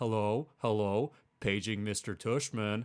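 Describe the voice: A man puts on a character voice at a fairly low pitch. He speaks at a fairly slow pace with fairly even intonation.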